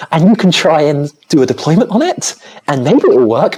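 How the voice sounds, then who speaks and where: Somewhat breathy and with a British accent, the speaker talks at a very fast pace with very wide pitch swings. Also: woman. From Britain. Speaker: software engineer. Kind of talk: casual chat.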